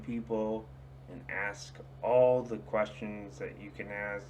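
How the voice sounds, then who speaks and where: Very slowly, a man speaks at a fairly low pitch with very wide pitch swings. Audible room echo surrounds his voice. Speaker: small youtuber giving opinions. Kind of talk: casual rant to camera. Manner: slurred, drunken-sounding speech; hesitant, many fillers.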